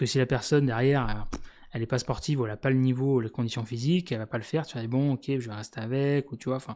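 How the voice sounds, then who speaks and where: On a very clean recording with a silent background, a man with a dark, mellow tone speaks at a very fast pace. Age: 40s. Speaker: YouTuber. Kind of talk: casual monologue. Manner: hesitant, many fillers.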